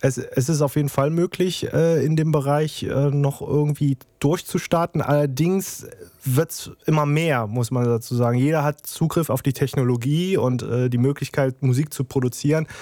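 A man's fairly high voice with a dark, mellow tone, fairly even intonation and a moderate pace, in a dry, close sound with no echo. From Germany, Trier. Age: 30s. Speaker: music producer and YouTuber. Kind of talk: casual interview. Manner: hesitant, many fillers.

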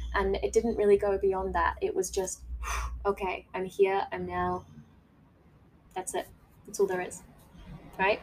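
A woman with an Australian accent, at a moderate pace. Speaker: podcast host, life coach. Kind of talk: casual monologue. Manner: animated.

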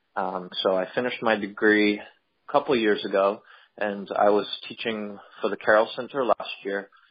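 With an American accent, a man with an ordinary speaking voice speaks at a moderate pace, his pitch fairly low and his intonation fairly even. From Pennsylvania. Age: 30s. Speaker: teacher of the visually impaired. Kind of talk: casual interview. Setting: group call.

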